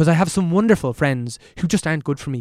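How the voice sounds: A man talks fast with lively intonation, a fairly high pitch and a slightly mellow tone, on a very clean recording with a silent background.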